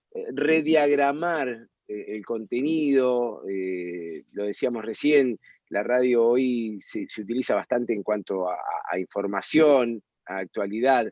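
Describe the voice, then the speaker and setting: A man at a medium pitch, very slow in pace, with ordinary pitch variation and a dry, close sound free of echo. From Argentina. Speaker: radio and TV host. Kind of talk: interview answer.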